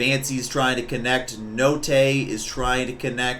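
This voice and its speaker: A man talks at a very slow pace in a medium pitch. Room echo is audible, and there is noticeable background noise. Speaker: streamer and esports commentator. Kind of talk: live commentary. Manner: animated.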